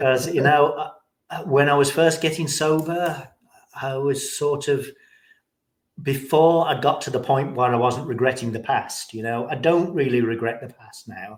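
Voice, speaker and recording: A man's fairly high voice in an English accent, with ordinary pitch variation and big swings in loudness. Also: moderate pace. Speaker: recovering alcoholic sharing his story. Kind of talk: interview, personal testimony. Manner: hesitant, many fillers and repeats.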